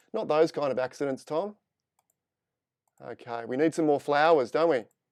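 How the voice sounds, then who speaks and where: A man with an Australian accent talks at a moderate pace, his fairly high pitch moving with ordinary variation. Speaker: photo editing instructor. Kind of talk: live tutorial. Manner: casual, chatty.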